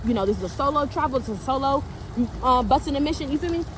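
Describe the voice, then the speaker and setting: With an American accent, a woman talks in a high pitch over noticeable background noise. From San Francisco Bay Area, California. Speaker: spiritual reader and channeler. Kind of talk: collective spiritual reading, casual talk to camera. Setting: outdoors by a pond. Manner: casual, slangy, repetitive.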